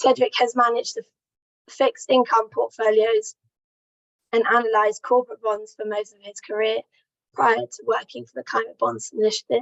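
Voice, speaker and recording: Speaking at a moderate pace, a woman leaves long, frequent pauses while her loudness swings widely. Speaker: training event organiser. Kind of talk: introducing speakers at an online training. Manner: reading a prepared introduction.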